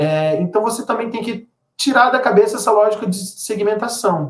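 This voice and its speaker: This is a man talking. The pace of his speech is fairly quick. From Brazil, Belém do Pará. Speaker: journalist and songwriter. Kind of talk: interview conversation.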